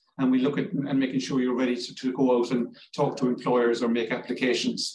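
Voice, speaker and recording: Somewhat breathy, a man with a Cork accent speaks at a fairly quick pace. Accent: Cork Irish. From Ireland, Cork. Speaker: language school director. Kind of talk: informational interview. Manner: halting.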